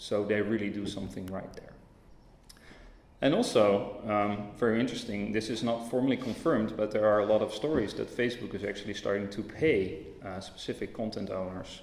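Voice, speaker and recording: A man's fairly low voice with a Dutch accent, fairly quick and fairly even in intonation, with audible room echo. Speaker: tech company representative. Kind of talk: conference talk. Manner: hesitant, many fillers.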